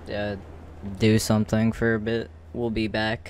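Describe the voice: A man speaks at a fairly low pitch. His voice shows little pitch movement.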